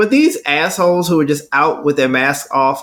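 With an American accent, a man uses an unremarkable speaking voice at a fairly high pitch, moderate pace and ordinary pitch variation. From Texas. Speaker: podcast co-host. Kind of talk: casual chat.

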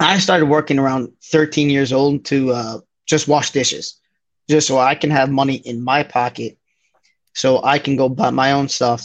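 A man with an American accent and a fairly high pitch speaks in a plain, everyday voice over a quiet background. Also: moderate pace. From New Jersey. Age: 20s. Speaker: bar manager. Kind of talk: casual chat.

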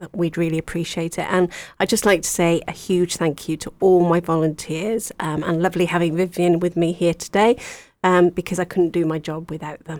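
A woman speaks in a Welsh accent at a fairly quick pace. Her intonation is monotone and flat. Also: fairly low pitch for a woman. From Wales. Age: 40s. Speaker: charity volunteer coordinator. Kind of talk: radio interview. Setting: radio studio.

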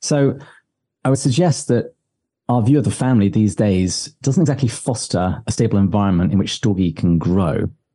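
A man with an English accent, fairly low in pitch, with a dark, mellow tone, lively intonation, very even loudness and a moderate pace, against a quiet background. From England, village. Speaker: podcast host, writer on religion. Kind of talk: interview answering.

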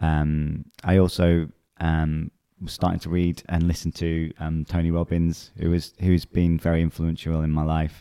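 In a dry, close sound with no echo and a very clean recording with a silent background, a man speaks at a fairly slow pace with a very deep, low pitch, monotone, flat intonation and a dark, mellow tone. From northern England, near Manchester. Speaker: health author and company founder. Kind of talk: casual interview chat. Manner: halting, many fillers.

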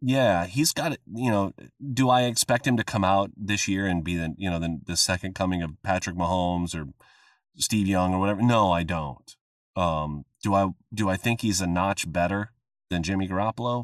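Delivered with an American accent at a moderate pace and ordinary pitch variation, the speech is captured dry and close with no echo on a very clean recording with a silent background. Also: man, very deep, low pitch for a man. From US Midwest. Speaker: voice actor and former radio host. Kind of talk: casual interview chat. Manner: relaxed with frequent fillers.

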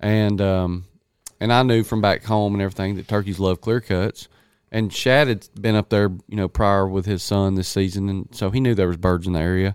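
A man with an American accent speaks at a moderate pace, fairly low in pitch and with fairly even intonation, in a dry, close sound with no echo on a very clean recording with a silent background. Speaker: turkey hunter, podcast co-host. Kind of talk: casual chat, hunting story.

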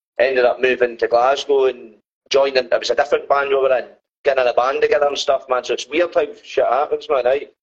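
With a Dundee accent, a man talks at a fairly quick pace. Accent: Scottish (Dundee). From Scotland, Dundee. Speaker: band musician. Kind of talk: casual interview chat. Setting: video call from phone.

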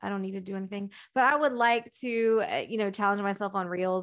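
A woman with an American accent speaks at a fairly quick pace in a normal speaking voice, with ordinary pitch variation against a quiet background. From Texas. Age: 30s. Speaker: dating coach. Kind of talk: casual interview chat.

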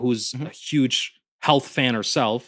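A normal speaking voice from a man with an American accent, medium in pitch, with fairly even intonation, in a very clean recording with a silent background. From Indiana. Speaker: disc golf community organizer. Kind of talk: casual chat.

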